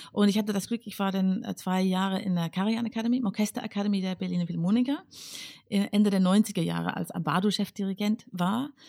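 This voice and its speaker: A woman speaks with an English accent at a medium pitch. Her pace is moderate and her intonation fairly even. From northern England, Northumberland. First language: English (speaking German). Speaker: conductor. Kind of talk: casual interview. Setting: home studio.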